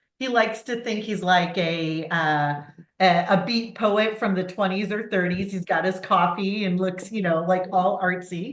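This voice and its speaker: With an American accent, a woman speaks at a medium pitch. Her pace is fairly slow, and room echo is audible. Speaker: university admissions director. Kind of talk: online presentation. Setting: video call.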